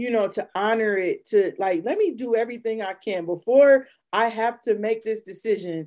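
In an unremarkable speaking voice, a woman with an American accent talks at a moderate pace, fairly high-pitched, with ordinary pitch variation, hardly any pauses and a quiet background. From Ohio, Akron. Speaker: real estate investor and home inspector. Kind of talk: casual chat.

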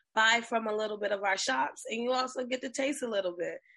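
Her voice, an unremarkable speaking voice, sits fairly high for a woman and has ordinary pitch variation. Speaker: event organizer. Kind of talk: radio interview.

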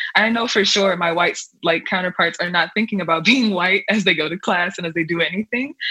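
There is noticeable background noise behind a woman with an American accent. Her pitch is fairly low, with ordinary variation. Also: fairly quick pace. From US, Nigerian American family. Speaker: undergraduate student. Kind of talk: casual discussion.

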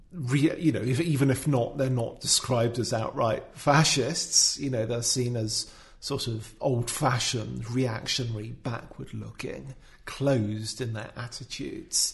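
With a medium pitch and fairly even intonation, a man speaks fairly slowly. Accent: British. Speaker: commentator. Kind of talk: casual discussion of an article. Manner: hesitant, filler words.

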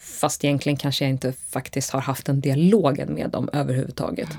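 A dark, mellow tone with vocal fry, fairly even intonation and a fairly quick pace. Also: woman. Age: 30s. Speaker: photographer. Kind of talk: casual interview.

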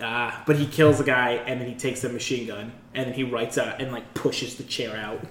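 Over noticeable background noise, a man speaks at a very fast pace and medium pitch with hardly any pauses. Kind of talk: casual chat.

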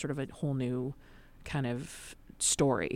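A woman speaks with an Upper Midwest accent. The recording is very clean, with a silent background. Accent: Upper Midwest American. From US Midwest, Madison, Wisconsin. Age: 30s. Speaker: improv comedian and fat activist. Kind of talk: casual interview. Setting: studio.

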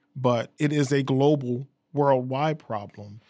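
The recording is very clean, with a silent background. A man talks at medium pitch in a normal speaking voice, with fairly even intonation. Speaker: radio station manager. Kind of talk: interview.

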